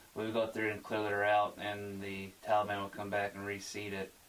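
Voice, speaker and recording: The speaker talks at a fairly quick pace with monotone, flat intonation over noticeable background noise. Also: man. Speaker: army combat engineer, amputee veteran, interview guest. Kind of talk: radio interview answer.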